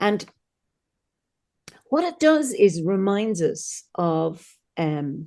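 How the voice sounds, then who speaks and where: In an Irish accent, the speaker talks at a very slow pace with a dark, mellow tone, very wide pitch swings, and long, frequent pauses. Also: woman, medium pitch for a woman. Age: 60s. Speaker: druid leader and celebrant. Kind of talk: casual interview.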